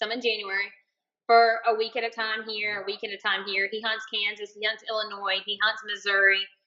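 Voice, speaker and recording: Flat and monotone in intonation, a woman speaks at a fairly high pitch with a slight Southern US accent. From Alabama. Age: 30s. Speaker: chemical engineer and bikini competitor. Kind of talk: podcast interview.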